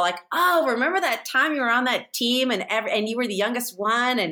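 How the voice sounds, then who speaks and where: The speaker has an American accent and a bright, sharp tone. Delivery is at a moderate pace with lively intonation. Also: woman. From San Francisco, US. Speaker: TV host and writer. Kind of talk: casual chat.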